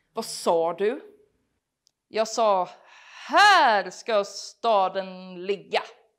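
Over a quiet background, a woman with a Gothenburg accent speaks very slowly at a fairly high pitch. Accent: Gothenburg Swedish. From Biskopsgården, Gothenburg. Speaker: comedian. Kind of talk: stand-up. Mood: deadpan humorous. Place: hall.

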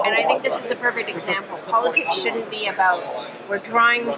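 Over loud background noise, a woman speaks at a fairly quick pace with ordinary pitch variation. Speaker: politician. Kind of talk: interview answer. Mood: warm, appreciative. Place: hall.

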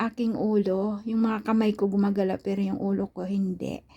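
At a moderate pace, a woman speaks in a dark, mellow tone that is somewhat breathy. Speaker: vlogger. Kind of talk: casual vlog monologue. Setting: at home, indoors. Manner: halting.

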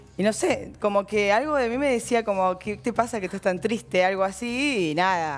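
A woman speaks at a fairly quick pace with lively intonation. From Argentina. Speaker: women's football organizer; talk show guest. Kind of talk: talk show interview. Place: studio. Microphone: headset.

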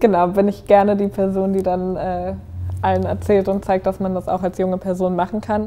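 A woman's dark, mellow tone at a moderate pace, with monotone, flat intonation. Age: 20s. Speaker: politician. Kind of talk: interview. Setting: office. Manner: casual, with filler words. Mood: friendly, smiling, engaged. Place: home room. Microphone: lapel.

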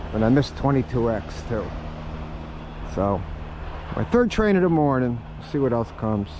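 Despite noticeable background noise, the sound of this man's voice is dry with no echo as his pitch swings very widely. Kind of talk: casual commentary. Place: open country. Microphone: phone near.

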